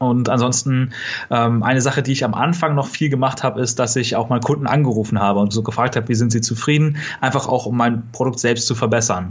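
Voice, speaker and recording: Speaking at a very fast pace, a man keeps his intonation fairly even and his loudness very even. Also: medium pitch for a man. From Germany, near Kassel (northern Hesse). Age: 20s. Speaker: online retailer, e-commerce entrepreneur. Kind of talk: podcast interview.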